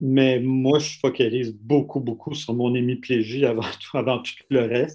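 A dark, mellow voice in a Quebec accent, at a fairly slow pace with hardly any pauses and monotone, flat intonation. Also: man, medium pitch for a man. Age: 60s. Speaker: critical care doctor. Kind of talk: testimony.

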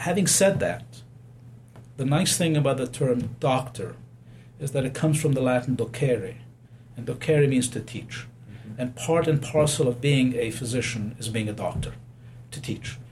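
Somewhat breathy and medium in pitch, a man speaks at a moderate pace with ordinary pitch variation and long, frequent pauses, his voice carrying audible room echo. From abroad, unnamed home country. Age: 60s. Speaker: physician. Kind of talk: interview.

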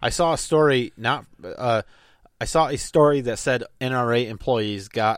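In an ordinary speaking voice with an American accent, a man talks at a medium pitch with lively intonation on a very clean recording with a silent background. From Michigan. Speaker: political podcast co-host. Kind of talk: casual chat.

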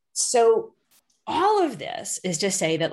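A woman talks very slowly, and the background is quiet. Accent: American. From Massachusetts. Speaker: labor journalist and author. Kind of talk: interview. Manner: casual.

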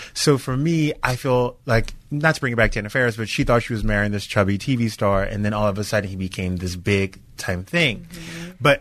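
Using a normal speaking voice, a man with an American accent talks at a medium pitch with lively intonation. He moves at a fairly quick pace with hardly any pauses, against a quiet background. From US South, Louisiana. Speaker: entertainment TV host. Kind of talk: casual chat. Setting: studio.

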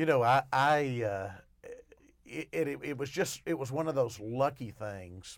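A man with an Arkansas accent speaks at a very slow pace with lively intonation and medium pitch. The recording is very clean, with a silent background. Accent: Southern US (Arkansas). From Arkansas, Arkadelphia. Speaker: newspaper columnist and radio co-host. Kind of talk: casual chat. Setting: radio studio.

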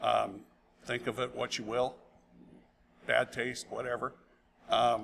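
Using vocal fry, a man speaks at a fairly slow pace and medium pitch. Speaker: brewery owner.

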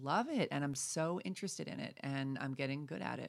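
A woman with an American accent, very deep and low in pitch, with ordinary pitch variation, vocal fry and a fairly quick pace. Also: very clean recording, silent background. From New York. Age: 50s. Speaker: self-help author. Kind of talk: interview.

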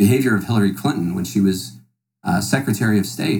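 Speaking at a very fast pace, a man uses a fairly low pitch with vocal fry. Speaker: podcast guest. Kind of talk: political debate.

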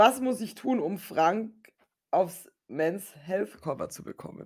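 A woman talks at a very slow pace in a medium-pitched voice. Her intonation is lively. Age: 30s. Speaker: podcast co-host. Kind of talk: casual chat.

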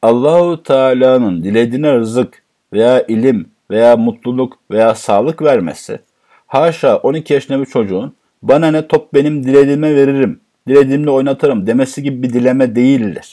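His voice is dark and mellow, pitched in the medium range for a man. The man talks at a moderate pace with ordinary pitch variation. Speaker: Quran teacher. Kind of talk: religious lecture.

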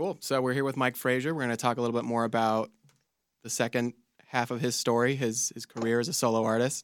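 A man with an American accent talks very fast with fairly even intonation. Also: medium pitch for a man. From California, Central Coast. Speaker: music manager and co-host. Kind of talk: casual chat.

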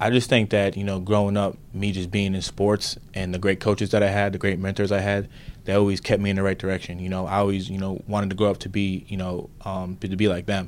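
Speaking at a very fast pace with hardly any pauses, a man with an American accent keeps a fairly low, monotone, flat intonation. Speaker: football player. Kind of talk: interview answers. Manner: soft-spoken.

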